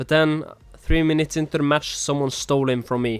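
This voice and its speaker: With music in the background, a man with a non-native accent speaks with fairly even intonation. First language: not English. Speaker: gaming YouTuber. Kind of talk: gameplay narration. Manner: not fully natural, non-native delivery.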